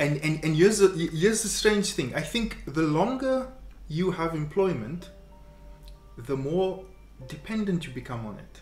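With faint music in the background and audible room echo, a man with a fairly high pitch speaks with long, frequent pauses and big swings in loudness. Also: fairly slow pace. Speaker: interviewer. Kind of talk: casual conversation. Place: home room.

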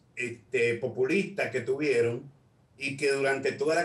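Pitch varies in an ordinary way at a fairly slow pace. Audible room echo surrounds the voice. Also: man. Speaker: political commentator, remote guest. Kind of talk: interview answer. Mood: critical, argumentative. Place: home room. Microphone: video call.

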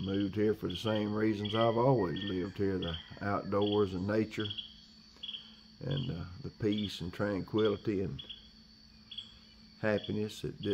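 Over noticeable background noise, a man with a fairly low pitch speaks at a fairly slow pace with fairly even intonation and long, frequent pauses. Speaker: rural outdoors vlogger. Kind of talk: casual vlog chat. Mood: calm, reflective. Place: forest. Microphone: phone near.

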